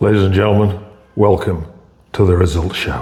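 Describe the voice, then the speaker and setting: In a put-on character voice, a man talks at a moderate pace with a very deep, low pitch, and an echo is audible. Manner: showman-like, announcing.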